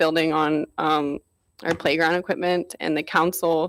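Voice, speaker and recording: A woman speaks in a shaky voice at a moderate pace, recorded very cleanly against a silent background. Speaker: resident speaking at public comment. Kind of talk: public comment at council meeting. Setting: council chamber. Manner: shaky, emotional.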